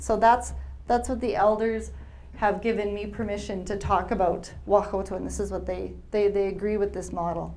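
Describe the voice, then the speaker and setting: A woman with a Canadian accent talks at a moderate pace amid audible room echo. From Alberta, Canada. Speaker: researcher and speaker on historical trauma. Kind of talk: lecture.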